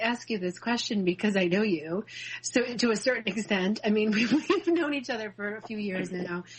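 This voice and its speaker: The speaker talks at a fairly quick pace with lively intonation. Noticeable background noise runs underneath. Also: woman. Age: 40s. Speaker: radio host. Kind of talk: interview.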